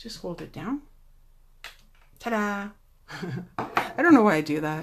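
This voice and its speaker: Soft-spoken and at a fairly slow pace, a woman talks at a medium pitch with very wide pitch swings and big swings in loudness. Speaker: card-making demonstrator. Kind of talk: tutorial. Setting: Facebook Live replay.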